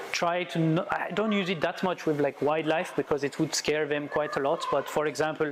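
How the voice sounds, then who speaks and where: Spoken in a French accent with hardly any pauses, this voice keeps a very even loudness and fairly even intonation over noticeable background noise. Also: man, fairly high pitch for a man, fairly quick pace. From France. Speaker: wildlife photographer. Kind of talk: presentation talk. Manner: halting.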